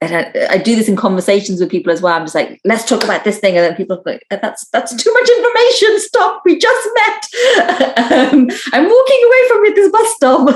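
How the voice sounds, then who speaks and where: A woman's high voice moves at a fairly quick pace with very wide pitch swings. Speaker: poet. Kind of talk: casual talk at a live poetry event.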